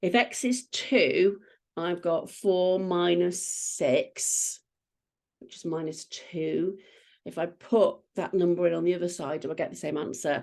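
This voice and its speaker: Using an ordinary speaking voice, a woman talks at a fairly slow pace with fairly low pitch. Her pitch varies in an ordinary way while her loudness swings widely. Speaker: maths tutor. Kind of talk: tutorial.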